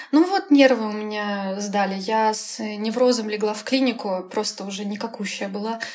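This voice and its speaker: A woman with a fairly high voice talks at a moderate pace with hardly any pauses and fairly even intonation. Her loudness swings a lot, and there is noticeable background noise. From Russia, Kaliningrad region. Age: 20s. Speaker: graphic designer. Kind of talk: casual interview.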